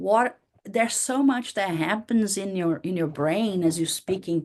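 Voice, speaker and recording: This woman speaks with a Portuguese accent at a fairly slow pace. Her medium pitch shows ordinary pitch variation. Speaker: university professor. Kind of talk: lecture.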